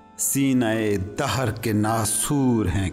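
A man is speaking. Music plays in the background. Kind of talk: poetry reading.

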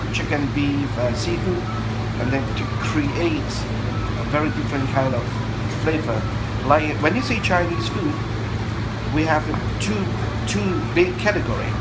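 Against loud background noise, a man talks at a moderate pace with long, frequent pauses. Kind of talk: interview answer. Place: cafe. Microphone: phone near.

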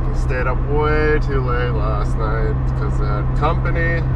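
A man speaks at a fairly slow pace over loud background noise. His sound is dry, with no echo. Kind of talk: casual vlog chat. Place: car. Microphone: phone near.

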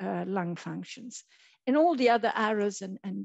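Recorded dry with no echo against a quiet background, a woman speaks at a moderate pace. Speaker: presenter. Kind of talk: lecture. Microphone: headset.

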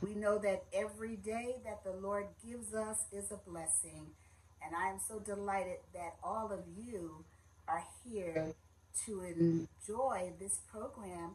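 A woman talks at a fairly slow pace in a somewhat breathy voice with fairly even intonation, with light background noise behind her. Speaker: minister giving a message. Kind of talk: sermon. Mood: warm, welcoming. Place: home room. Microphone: phone near.

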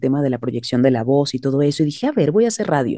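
A woman talks at a very fast pace. The sound is dry with no echo, and the background is quiet. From Venezuela (Caracas). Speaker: singer-songwriter and voice actress; voice actress. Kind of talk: interview. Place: home room. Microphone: video call.

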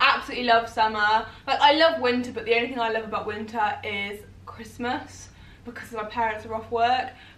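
Room echo is audible as a woman with an English accent and a fairly high pitch talks at a fairly quick pace with fairly even intonation. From England. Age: 20s. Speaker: YouTuber. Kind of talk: casual chat. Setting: at home on sofa. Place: home room. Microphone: camera far.

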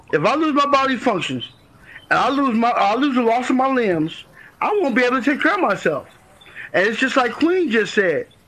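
A man with an extremely high pitch, lively intonation, very even loudness and a fairly quick pace, over noticeable background noise. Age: 40s. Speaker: guest in a group live-stream discussion. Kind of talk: casual group discussion. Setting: online live-stream room.

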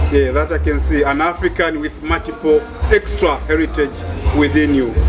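A man talks at a moderate pace while clear music sounds behind him. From Dar es Salaam, Tanzania. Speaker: researcher and interviewer. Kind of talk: interview host. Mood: warm, smiling, curious. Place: shop.

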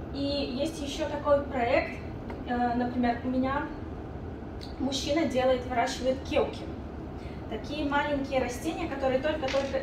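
A woman talks with long, frequent pauses amid audible room echo and noticeable background noise. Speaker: business incubator coordinator. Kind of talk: informational presentation. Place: meeting room.

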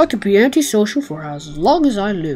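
A put-on character voice, fairly high in pitch with very wide pitch swings, at a fairly quick pace over clear music in the background. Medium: machinima. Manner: sullen, grumbling.

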